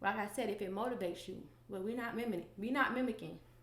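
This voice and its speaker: Audible room echo surrounds a woman talking at a very fast pace in a medium pitch. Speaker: podcast host. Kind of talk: solo podcast monologue.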